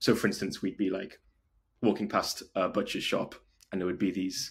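A man with a North Welsh accent speaks at a moderate pace and a fairly low pitch in a very clean recording with a silent background. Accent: North Wales. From North Wales, Wrexham. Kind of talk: casual interview chat.

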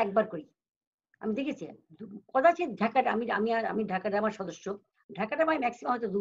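Somewhat breathy and fairly high in pitch, a woman talks with lively intonation. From Bangladesh, Jessore; Bangladesh. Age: 70s. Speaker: stage and television actress; guest. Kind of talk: interview. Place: home room. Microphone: video call.

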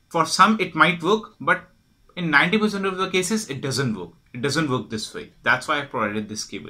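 Against a quiet background, the voice has a bright, sharp tone and very wide pitch swings. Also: man. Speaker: product support demonstrator. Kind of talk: tutorial. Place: home room.

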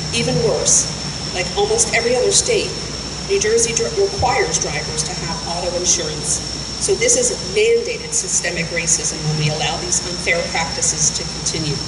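Over loud background noise, a woman talks at a moderate pace. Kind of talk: press conference statement. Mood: serious, advocating. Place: street. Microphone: podium.

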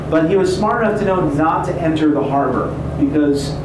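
Moderately paced, a man's voice comes through audible room echo and noticeable background noise. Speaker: tour guide. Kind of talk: guided history tour narration. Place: boat.

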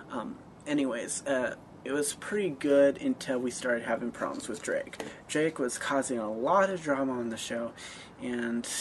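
Here a man talks at a moderate pace. Light background noise can be heard. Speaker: amateur web series creator. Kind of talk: casual vlog chat. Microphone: webcam.

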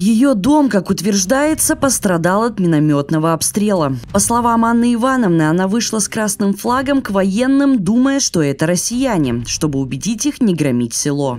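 Words come at a moderate pace with hardly any pauses, amid noticeable background noise. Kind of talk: news narration.

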